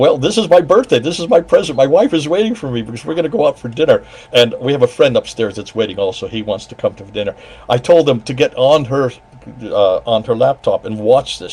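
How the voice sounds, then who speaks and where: A man speaks at a very fast pace in a fairly high pitch, his voice making very wide pitch swings and big swings in loudness over noticeable background noise. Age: 70s. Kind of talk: casual chat.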